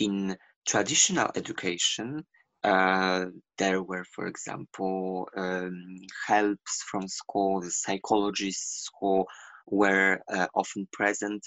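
With a Polish accent, a man speaks very slowly in a very deep, low pitch and monotone, flat intonation. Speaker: LGBTQ activist. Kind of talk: interview. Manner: halting.

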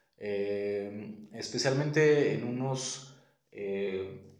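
Audible room echo around a man speaking in fairly even intonation. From Mexico, Guadalajara, Jalisco. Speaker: illustrator and podcast host. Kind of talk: solo podcast monologue. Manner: halting, many fillers and repetitions.

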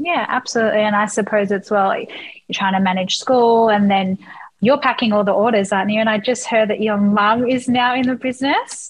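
A woman talks at a fairly quick pace with an Australian accent. Her voice is somewhat breathy and fairly high, with ordinary pitch variation. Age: 20s. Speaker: podcast host. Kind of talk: interview.

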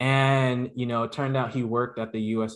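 A normal speaking voice, a man with an American accent at a moderate pace over a quiet background. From Brooklyn, New York (Canarsie), West Indian household. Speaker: podcast co-host, interviewed as guest. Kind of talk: casual interview chat.

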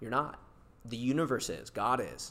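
A man speaks with an American accent. His intonation is fairly even. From US, California Bay Area. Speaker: podcast host, entrepreneur. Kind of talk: casual chat.

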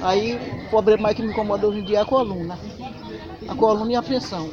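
Over crowd noise and audible room echo, a woman speaks at a moderate pace. Her pitch is medium and her intonation fairly even. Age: 70s. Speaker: farmer. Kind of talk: interview.

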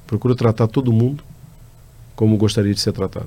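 The man's medium-pitched voice has a dark, mellow tone. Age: 50s. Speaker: company executive. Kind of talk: interview answers. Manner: halting, many fillers.

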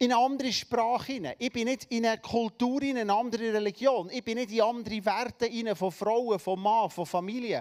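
Hardly pausing, a man with a Swiss German accent talks at a fairly quick pace in an extremely high pitch with an animated tone. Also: very clean recording, silent background. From Switzerland. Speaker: preacher. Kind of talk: sermon.

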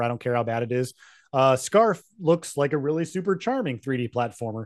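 A man with an American accent has an unremarkable speaking voice at a medium pitch with ordinary pitch variation. He talks at a moderate pace against a quiet background. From Utah. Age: 30s. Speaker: video game podcast co-host. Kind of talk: casual chat.

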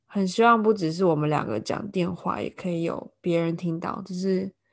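A woman with a Taiwanese accent speaks at a medium pitch. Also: quiet background. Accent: Taiwanese Mandarin. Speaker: podcast co-host, Chinese-speaking nanny. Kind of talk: casual chat.

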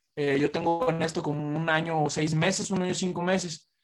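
Fairly even intonation runs through a man's high-pitched voice. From Mexico, Michoacán (Zamora). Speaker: rapper. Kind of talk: casual chat.

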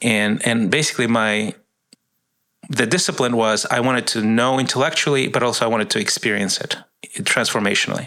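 This man has a plain, everyday voice, with ordinary pitch variation, very even loudness and a fairly quick pace. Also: medium pitch for a man. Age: 50s. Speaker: ministry worker. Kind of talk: casual chat.

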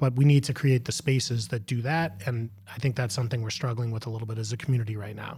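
With an American accent, a man speaks at a very fast pace with hardly any pauses, his medium-pitched voice dark, mellow and somewhat breathy, his intonation fairly even, on a very clean recording with a silent background. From Massachusetts, Boston area. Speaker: high school principal. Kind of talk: casual chat.

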